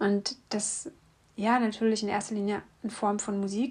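A woman speaks at a medium pitch with fairly even intonation. Her voice is somewhat breathy. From East Germany. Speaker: podcast host, singer-songwriter. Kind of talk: personal monologue.

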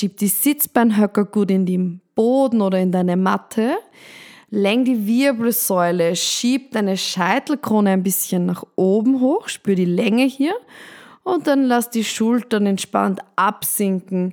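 A woman speaks at a very slow pace in a calm, soothing tone. Her pitch is medium, with ordinary variation and very even loudness. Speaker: podcast host and meditation guide. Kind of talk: guided meditation. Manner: slow, calm, soothing with pauses; soft-spoken, gentle and reassuring.

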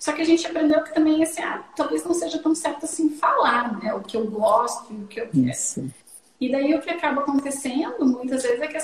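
Lively intonation from a woman with a high pitch, against noticeable background noise. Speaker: psychologist and sexologist, podcast host. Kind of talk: casual interview conversation.

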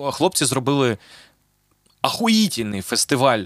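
The recording is very clean with a silent background. The sound is dry and close, with no echo. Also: man. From Zaporizhzhia, Ukraine. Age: 30s. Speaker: podcast host and rapper. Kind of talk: casual chat.

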